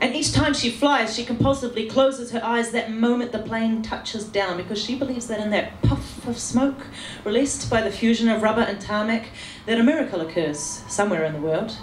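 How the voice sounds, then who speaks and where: Noticeable background noise sits behind a woman speaking at a fairly quick pace. Her pitch is fairly high, with ordinary variation. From New Zealand. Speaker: spoken word poet. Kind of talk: slam poetry performance. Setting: live venue.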